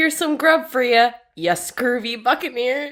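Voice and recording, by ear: Putting on a character voice, a woman speaks at a high pitch. Her pace is moderate.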